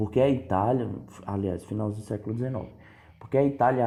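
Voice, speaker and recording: A man's dark, mellow tone with ordinary pitch variation and audible room echo. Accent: northeastern Brazilian. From Northeast Brazil, Paraíba. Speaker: history teacher. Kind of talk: lecture. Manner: casual, conversational.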